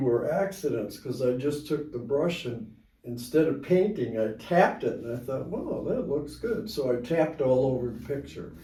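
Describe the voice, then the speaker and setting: A man with a fairly high pitch and a dark, mellow, somewhat breathy tone talks at a fairly slow pace with lively intonation. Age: 80s+. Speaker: amateur artist. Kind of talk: interview answer.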